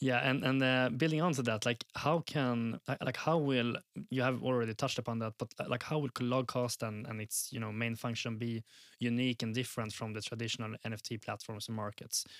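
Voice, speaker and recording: An unremarkable speaking voice from a man at medium pitch, fairly even in intonation and fairly quick, in a very clean recording with a silent background and a dry, close sound with no echo. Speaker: podcast co-host. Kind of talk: interview.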